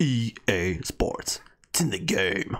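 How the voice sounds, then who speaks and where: A low-pitched put-on character voice is heard. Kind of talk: announcer.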